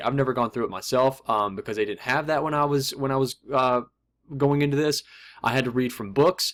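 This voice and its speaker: This is a man at a medium pitch, recorded very cleanly against a silent background. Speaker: forex trader and YouTuber. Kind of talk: casual vlog talk. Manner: fast.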